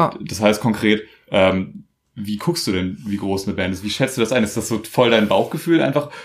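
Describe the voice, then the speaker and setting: With a normal speaking voice, a man talks at a moderate pace, his pitch fairly low and his intonation lively. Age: 20s. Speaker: podcast host. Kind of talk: casual interview. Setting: at home.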